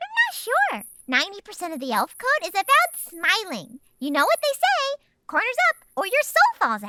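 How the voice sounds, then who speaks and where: A squeaky, female-sounding put-on character voice sits at an extremely high pitch with very wide pitch swings. The pace is moderate. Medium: audio drama.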